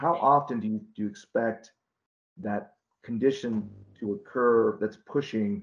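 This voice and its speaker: Speaking fairly slowly with an American accent, a man uses a medium-pitched voice with ordinary pitch variation. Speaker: wastewater engineering consultant. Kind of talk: online Q&A discussion. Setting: video call. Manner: halting.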